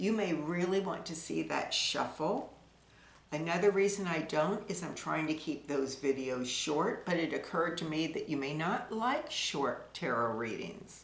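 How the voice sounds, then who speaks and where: A woman's fairly low voice at a fairly slow pace, lively in intonation, with audible room echo and noticeable background noise. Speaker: tarot reader. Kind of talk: casual monologue to camera. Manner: slow talker; pauses, zones out.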